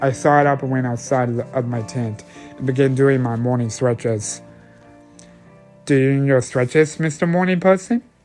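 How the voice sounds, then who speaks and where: Over music in the background, a man with a medium-pitched voice speaks at a moderate pace with ordinary pitch variation and long, frequent pauses. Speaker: amateur story narrator. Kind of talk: horror story narration.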